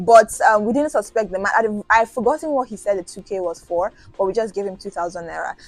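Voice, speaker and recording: A woman with a fairly high pitch talks at a very fast pace, with ordinary pitch variation. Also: big swings in loudness. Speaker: student vlogger. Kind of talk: storytime vlog. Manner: casual with fillers.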